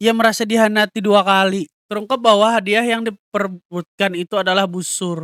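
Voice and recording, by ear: A man speaks with a high pitch, a nasal, fairly bright, clear, smooth tone at a fairly quick pace. The sound is dry and close with no echo, in a very clean recording with a silent background. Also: fairly even intonation.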